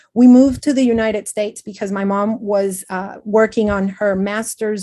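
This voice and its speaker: Speaking with a Spanish accent, a woman has a fairly high pitch, fairly even intonation and a dark, mellow tone. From Venezuela. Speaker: educator. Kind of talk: panel discussion. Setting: video call.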